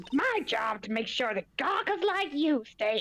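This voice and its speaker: A female-sounding, put-on character voice, high in pitch, with very wide pitch swings. The pace is moderate. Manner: grumpy.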